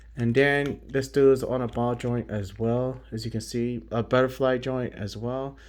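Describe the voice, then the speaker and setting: Monotone, flat intonation marks this man's speech. He speaks at a medium pitch. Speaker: toy collector YouTuber. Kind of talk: product review. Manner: quiet, hushed.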